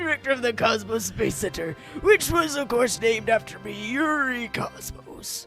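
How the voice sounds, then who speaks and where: Over clear background music, a man does a put-on character voice at an extremely high pitch. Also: moderate pace. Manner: pompous.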